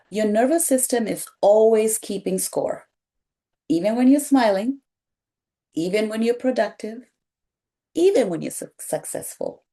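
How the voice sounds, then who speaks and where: In a Kenyan accent, a woman speaks at a fairly high pitch with a dark, mellow tone and lively intonation. Her pace is fairly slow, with long, frequent pauses. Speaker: pediatric nurse and wellness content creator. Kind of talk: reflective talk to camera. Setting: sitting on a couch on camera. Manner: gentle, soothing.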